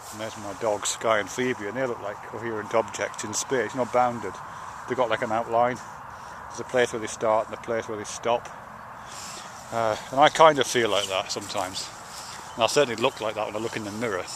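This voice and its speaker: Over noticeable background noise, a man with a British accent speaks at a fairly quick pace, with long, frequent pauses. His voice is medium in pitch with fairly even intonation. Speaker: video blogger. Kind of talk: casual spoken video essay. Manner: slurring; halting, many fillers and restarts.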